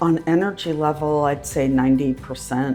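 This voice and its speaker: With music in the background, a woman speaks at a very deep, low pitch. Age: 60s. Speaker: dental patient. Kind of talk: patient testimonial interview.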